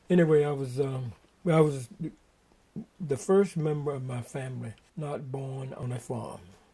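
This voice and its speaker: A man with a dark, mellow, somewhat breathy tone speaks at a moderate pace, with ordinary pitch variation and long, frequent pauses. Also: fairly high pitch for a man, big swings in loudness. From US South, eastern North Carolina. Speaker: retired Marine veteran recalling family history. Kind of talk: oral history interview. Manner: halting, many fillers and restarts.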